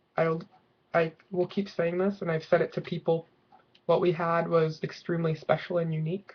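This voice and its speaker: The speech is mumbled at a moderate pace. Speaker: video blogger. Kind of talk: personal video diary. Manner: mumbling.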